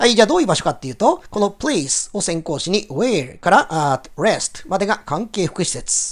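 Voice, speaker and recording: A man speaks with a high voice, his pitch swinging very widely. His loudness shifts a lot, and he barely pauses. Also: moderate pace. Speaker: English teacher. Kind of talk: lecture.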